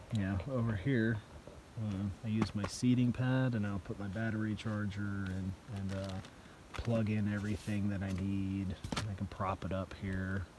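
Noticeable background noise sits behind a man with a fairly low pitch and a dry sound with no echo. He speaks at a moderate pace with monotone, flat intonation. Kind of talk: casual vlog chat. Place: tent. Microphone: phone near.

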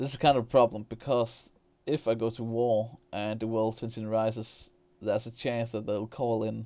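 A man is talking. He has a Danish accent. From Denmark. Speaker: gaming streamer. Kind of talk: gameplay commentary with live chat. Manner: hesitant, repeats words.

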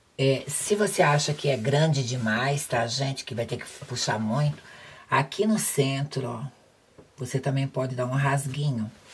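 A woman talks at a fairly slow pace in a very deep, low voice. Her pitch varies in an ordinary way. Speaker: sewing instructor. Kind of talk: tutorial. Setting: home sewing workspace, filmed video.

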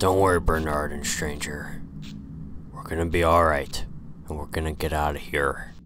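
Putting on a character voice, a man speaks in a raspy, very deep register at a moderate pace with fairly even intonation, long frequent pauses, and clear background noise behind him. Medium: machinima. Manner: profane, brash, cocky.

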